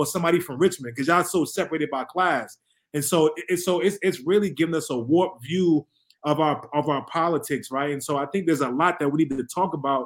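With an American accent, a man talks at a very fast pace in a fairly high pitch. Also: ordinary pitch variation. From Harlem, New York City. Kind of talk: casual discussion.

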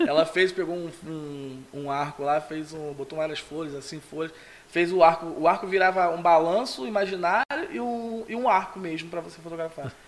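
Amid noticeable background noise, a man with a high pitch speaks at a moderate pace, with ordinary pitch variation and big swings in loudness. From São Gonçalo, Brazil. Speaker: photographer. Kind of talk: casual interview. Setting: studio.

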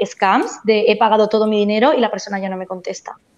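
A woman talks at a fairly quick pace in a plain, everyday voice. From Spain, Barcelona. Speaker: education agent. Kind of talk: panel discussion.

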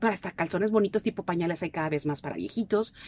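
A woman at a very fast pace, lively intonation, dark and mellow tone, dry and close with no echo. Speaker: clinical psychologist. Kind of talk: radio interview. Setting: radio studio.

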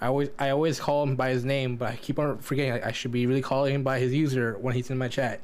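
The delivery is very fast, monotone and flat, with very even loudness. Noticeable background noise sits behind it. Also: man, medium pitch for a man. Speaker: podcast co-host. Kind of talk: casual chat.

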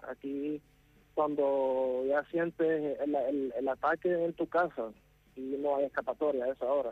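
An unremarkable speaking voice talks at a fairly slow pace. The intonation stays fairly even. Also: man, fairly high pitch for a man. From Syria, then ten years in Nicaragua. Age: 20s. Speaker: civilian interviewed from a war zone. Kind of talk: interview. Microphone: poor connection, line dropped.

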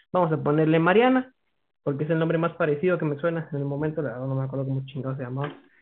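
Speaking at a very fast pace, a man with a fairly high pitch shows ordinary pitch variation. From Guatemala. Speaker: podcast guest. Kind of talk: casual chat.

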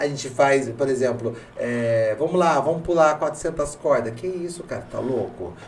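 Over noticeable background noise, a man with a fairly high voice talks with hardly any pauses. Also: ordinary pitch variation. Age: 30s. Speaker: podcast host. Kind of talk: casual chat. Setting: studio.

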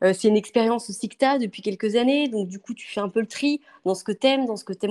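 Ordinary pitch variation colors a woman's fairly quick speech. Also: dry, close sound with no echo. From western France (Angers). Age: 30s. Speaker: interior decorator. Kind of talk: interview. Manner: hesitant, many fillers.

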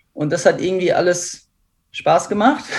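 Over a quiet background, the talking proceeds at a moderate pace. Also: man. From Ruhr area, Germany (near Essen). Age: 20s. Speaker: professional triathlete. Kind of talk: interview.

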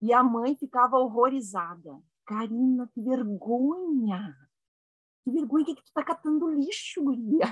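A woman with a southern Brazilian accent speaks at a high pitch and a fairly slow pace. Her intonation is lively, and her loudness swings widely. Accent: gaúcho Brazilian Portuguese. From Rio Grande do Sul, Brazil (Caxias do Sul). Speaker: laughter yoga leader. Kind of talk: casual chat.

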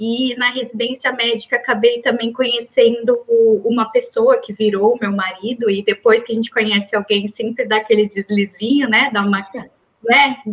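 A woman has an ordinary speaking voice. She speaks at a moderate pace with a fairly high pitch. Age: 30s. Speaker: medical doctor. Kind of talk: interview.

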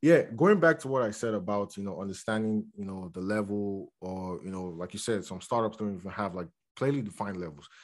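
An unremarkable speaking voice from a man, fairly low in pitch with ordinary pitch variation, big swings in loudness, a fairly quick pace and hardly any pauses, against a quiet background. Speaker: podcast co-host and company co-founder. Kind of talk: casual chat.

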